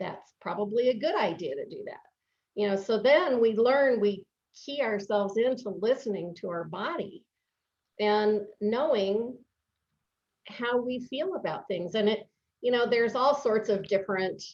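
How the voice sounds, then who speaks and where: At a moderate pace, a woman with a fairly high voice speaks with lively intonation and long, frequent pauses. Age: 60s. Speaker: life coach. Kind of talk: interview. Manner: hesitant with fillers.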